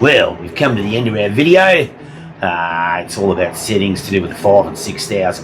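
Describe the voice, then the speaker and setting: Music in the background behind a man with an Australian accent, fairly low pitch, ordinary pitch variation, a moderate pace and big swings in loudness. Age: 60s. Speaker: gold prospecting vlogger. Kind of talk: casual vlog and tutorial. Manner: casual, halting with fillers.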